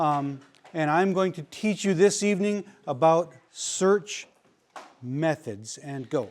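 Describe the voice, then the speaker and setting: A man speaks loudly with ordinary pitch variation. The recording is very clean, the background silent. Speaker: search and rescue instructor. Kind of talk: lecture. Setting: classroom.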